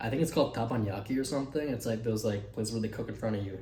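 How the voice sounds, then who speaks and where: A man's medium-pitched voice has a dark, mellow tone. It is somewhat breathy, with audible room echo. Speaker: fitness vlogger. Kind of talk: casual vlog. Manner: casual, filler-heavy.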